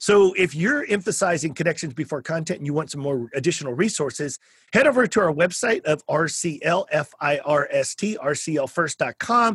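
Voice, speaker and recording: A high-pitched man with a Texan accent, fairly quick and hardly pausing, lively in intonation and animated in tone, in a dry, close sound with no echo and a very clean recording over a silent background. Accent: Texan American. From South Texas. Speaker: podcast host. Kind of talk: interview conversation; show promo.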